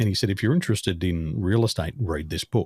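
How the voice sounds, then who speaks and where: Recorded very cleanly over a silent background, a man speaks at a very fast pace in a fairly low pitch. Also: dry, close sound with no echo. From Australia. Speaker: business coach. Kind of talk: interview conversation. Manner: fluent, few filler words.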